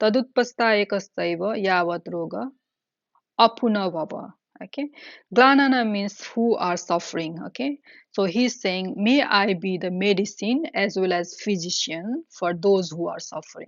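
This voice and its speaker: At a moderate pace, a woman speaks at a medium pitch with lively intonation. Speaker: Buddhist teacher. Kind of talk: dharma teaching. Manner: halting, many fillers.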